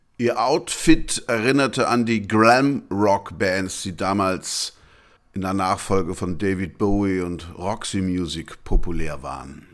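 A man at a fairly low pitch and a very slow pace, with lively intonation, on a very clean recording with a silent background. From Franconia, Germany. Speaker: music podcast host. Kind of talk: scripted narration.

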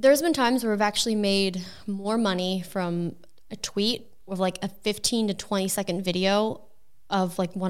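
Here a woman uses a normal speaking voice with medium pitch and ordinary pitch variation. She talks at a moderate pace. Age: 30s. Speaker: content creator. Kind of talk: casual chat.

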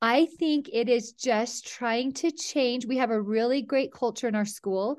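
Against a quiet background, a woman with a Utah accent speaks at a fairly slow pace with ordinary pitch variation. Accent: Utah American. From central Utah (Mount Pleasant). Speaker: high school athletic director. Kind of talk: podcast interview.

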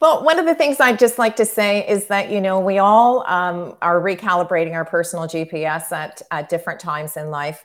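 A woman with an ordinary speaking voice talks at a moderate pace in a medium pitch, her intonation lively and her pauses hardly any. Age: 60s. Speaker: marketing consultant and artist. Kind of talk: interview conversation.

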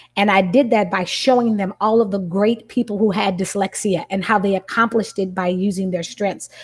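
An ordinary speaking voice carries fairly even intonation throughout. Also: woman, medium pitch for a woman, fairly quick pace, hardly any pauses. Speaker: educator and parent. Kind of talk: video-call book study discussion.

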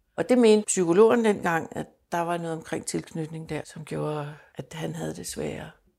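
A woman at a moderate pace on a very clean recording, silent background. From Denmark. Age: 60s. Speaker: adoptee sharing her story. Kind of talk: personal testimony interview. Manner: halting, repeats words.

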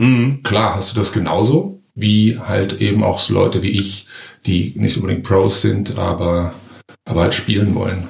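A man talks at a fairly low pitch. His pitch varies in an ordinary way. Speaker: amateur comedian. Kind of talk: casual interview chat. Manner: fast.

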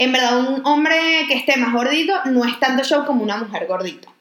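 A high-pitched female voice with ordinary pitch variation, at a moderate pace. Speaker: podcast co-host. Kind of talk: casual chat.

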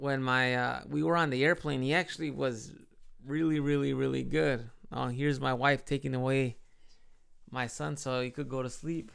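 Ordinary pitch variation at a moderate pace, with an American accent. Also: man, medium pitch for a man. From Chicago, US Midwest. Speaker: podcast host and English teacher living in Japan. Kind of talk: casual solo podcast monologue. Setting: home, with baby nearby.

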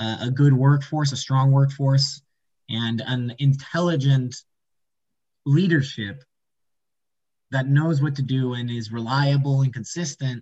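A man at a medium pitch sounds somewhat breathy, speaking at a fairly slow pace with fairly even intonation. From Puerto Rico. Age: 20s. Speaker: student. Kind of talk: interview.

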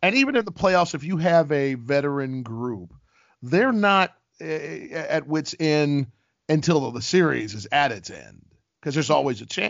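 A man's animated voice with an American accent, fairly high in pitch, lively in intonation, with big swings in loudness at a moderate pace. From Ohio, US Midwest. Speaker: TV sports host and courtside reporter. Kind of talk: casual interview.

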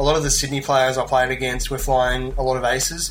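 A man with an Australian accent, medium pitch and monotone, flat intonation, music in the background. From Australia (Melbourne). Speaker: tabletop gamer. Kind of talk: casual chat.

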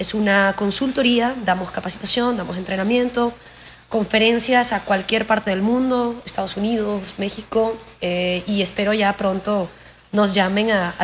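At a moderate pace, a woman with a medium pitch speaks in fairly even intonation. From Venezuela, Anzoátegui (Anaco). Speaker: coach and consultant. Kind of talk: casual interview. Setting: call.

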